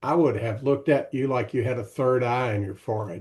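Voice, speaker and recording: A man with a Tennessee accent speaks at a fairly quick pace and medium pitch. His tone is dark and mellow against a quiet background. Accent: Southern US (Tennessee). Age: 70s. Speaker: retired executive and author. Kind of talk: casual interview.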